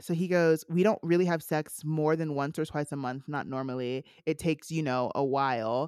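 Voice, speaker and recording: Animated in tone, the speech moves at a moderate pace with hardly any pauses over a very clean, silent background. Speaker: podcast host. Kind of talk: casual chat. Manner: animated, casual.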